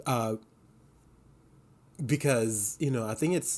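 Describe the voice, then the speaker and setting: A man talks with an Indonesian accent. His pitch shows ordinary variation. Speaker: knitting podcaster. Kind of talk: casual video podcast chat. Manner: hesitant, many fillers.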